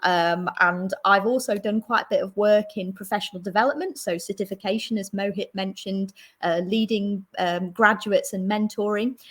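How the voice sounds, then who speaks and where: Speaking with a London accent, a woman with a medium pitch and a somewhat breathy voice keeps fairly even intonation and hardly any pauses. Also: moderate pace. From London, England. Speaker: solution architect. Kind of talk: presentation. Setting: online stream with screen share.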